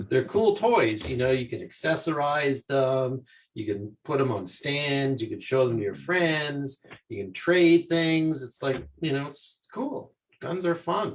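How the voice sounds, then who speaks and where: This man has an unremarkable speaking voice with a Canadian accent and a fairly high pitch. He speaks at a fairly slow pace with lively intonation. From Canada. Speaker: academic and cannabis advocate. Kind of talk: casual chat.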